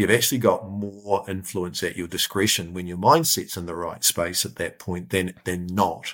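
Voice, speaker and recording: A man with a New Zealand accent at a moderate pace, in a very clean recording with a silent background. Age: 40s. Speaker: business safety forum chief executive. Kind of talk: interview.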